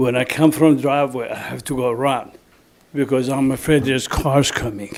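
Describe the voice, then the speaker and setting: Speaking at a moderate pace with a non-native accent, a man keeps a medium pitch and a monotone, flat intonation. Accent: foreign. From Germany. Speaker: resident speaking at public comment. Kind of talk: public comment at town meeting. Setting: municipal planning commission meeting.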